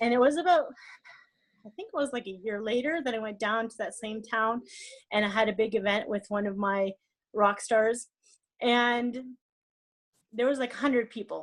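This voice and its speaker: Pausing long and often, a woman speaks at a fairly high pitch with ordinary pitch variation and big swings in loudness. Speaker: network marketing leader. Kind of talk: motivational talk. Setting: conference call. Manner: fast.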